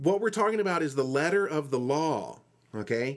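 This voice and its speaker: A man talks in a normal speaking voice, fairly high-pitched, with ordinary pitch variation. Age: 40s. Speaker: podcast host. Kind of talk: casual chat.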